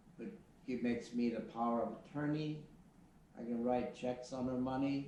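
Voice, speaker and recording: In an American accent, a man speaks at a moderate pace and medium pitch with fairly even intonation, amid noticeable background noise and audible room echo. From US Midwest. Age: 70s. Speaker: retired airline pilot. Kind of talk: interview. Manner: halting.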